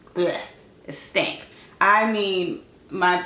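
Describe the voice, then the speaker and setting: Intonation stays fairly even. Audible room echo is present. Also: woman. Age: 30s. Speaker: lifestyle vlogger. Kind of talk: casual chat. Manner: fast.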